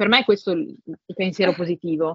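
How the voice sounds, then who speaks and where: A woman speaks at a fairly quick pace. Her pitch sits in the medium range. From northern Italy, Milan province. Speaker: translator and tech industry manager. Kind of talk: casual interview conversation. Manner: halting, many repetitions and fillers.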